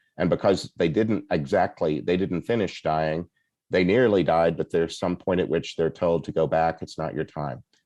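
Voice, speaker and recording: A man with a very deep, low pitch and a dark, mellow tone talks at a moderate pace with ordinary pitch variation, the sound dry and close with no echo. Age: 60s. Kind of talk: podcast interview. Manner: halting.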